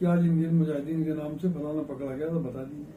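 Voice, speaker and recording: A man with a fairly high pitch talks, and room echo is audible. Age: 80s+. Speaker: former member of parliament, politician. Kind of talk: interview.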